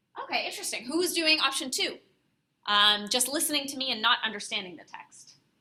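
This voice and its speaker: The voice is raised and projected. Its pitch swings very widely. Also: woman. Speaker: university workshop presenter. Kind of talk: workshop presentation. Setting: classroom with live audience. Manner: loud; animated.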